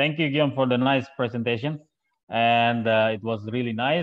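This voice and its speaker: A man at a moderate pace with ordinary pitch variation, against a quiet background. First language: Indonesian. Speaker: webinar moderator. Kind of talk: webinar moderating. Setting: video call. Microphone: earbuds.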